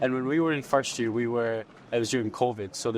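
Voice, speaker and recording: A man with a Scottish accent at a very fast pace, medium in pitch, over noticeable background noise. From Scotland. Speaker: university student, society co-founder. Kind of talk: interview.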